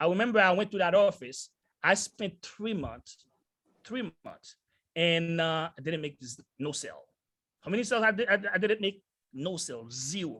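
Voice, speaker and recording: Bright and sharp in tone, a man with a non-native accent and high pitch speaks at a moderate pace in an animated tone, with lively intonation, big swings in loudness and long, frequent pauses. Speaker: sales entrepreneur, motivational speaker. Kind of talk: motivational talk. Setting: video call.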